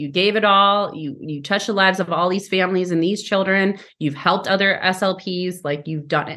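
Against a quiet background, a woman with a bright, sharp tone speaks at a medium pitch with fairly even intonation. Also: fairly quick pace, hardly any pauses. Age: 30s. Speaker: speech pathologist. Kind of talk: interview.

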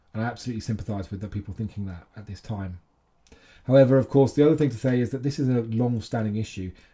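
On a very clean recording with a silent background, a man with a medium pitch and ordinary pitch variation talks very fast in a somewhat breathy, dark, mellow tone. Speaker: podcast host and trade body chief executive. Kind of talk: interview conversation. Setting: hotel lobby with background noise.

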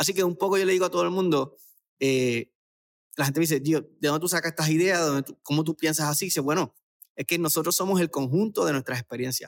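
In a dry, close sound with no echo, a man talks very fast at a fairly high pitch, with ordinary pitch variation and very even loudness. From Puerto Rico, Aguadilla. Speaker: brand marketing expert. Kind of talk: interview. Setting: video call.

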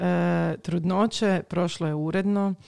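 A woman speaks at a very slow pace and a fairly low pitch with ordinary pitch variation, her sound dry and close with no echo. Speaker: podcast host. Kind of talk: casual interview. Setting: studio, masks, 3 m apart.

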